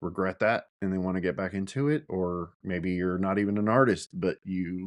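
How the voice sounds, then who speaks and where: Against a quiet background, a man mumbles at a very deep, low pitch, the sound dry and close with no echo. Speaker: podcast host. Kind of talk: solo podcast monologue. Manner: mumbling; casual, hesitant with fillers.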